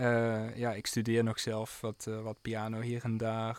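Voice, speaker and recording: The man's medium-pitched voice moves at a very slow pace. The recording is very clean, its background silent. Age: 20s. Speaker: jazz pianist and composer. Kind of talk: radio interview. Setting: radio studio.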